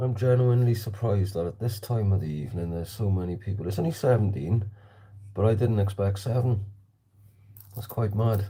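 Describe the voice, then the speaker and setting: This man speaks at a fairly low pitch and a fairly quick pace, his dark, mellow tone somewhat breathy and his pitch varying in an ordinary way. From South Wales. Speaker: slingshot shooter livestreamer. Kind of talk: casual livestream chat. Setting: livestream shooting in hallway at home.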